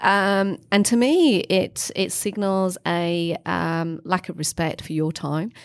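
With a northern English accent, a woman speaks very slowly with hardly any pauses, her medium-pitched voice showing ordinary pitch variation on a very clean recording with a silent background. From northern England, Leeds, Yorkshire. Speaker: leadership consultant and author. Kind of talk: interview conversation.

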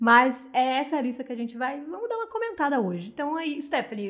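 A woman with a high pitch speaks at a moderate pace in an animated tone. Her pitch swings very widely. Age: 20s. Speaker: podcast co-host. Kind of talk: casual chat. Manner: animated, frequent laughter.

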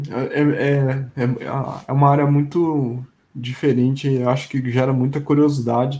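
A man speaks at a fairly slow pace with a fairly high pitch. His tone is dark and mellow, and somewhat breathy. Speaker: tech podcast host. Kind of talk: casual interview chat.

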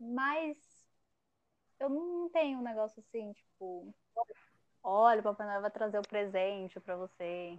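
Speaking at a fairly slow pace with long, frequent pauses, a woman uses a fairly high voice and lively intonation. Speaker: podcast host. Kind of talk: casual chat.

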